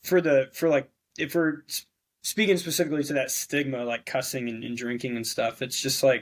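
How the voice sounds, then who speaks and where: The man has an ordinary speaking voice at a fairly high pitch. His pace is moderate and his pitch variation ordinary. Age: 20s. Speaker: navy officer. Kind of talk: casual chat. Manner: many fillers and restarts.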